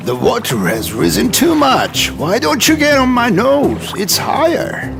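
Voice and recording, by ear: A man performs a cartoonish character voice, extremely high-pitched with vocal fry and very wide pitch swings. He speaks at a fairly slow pace over clear music in the background.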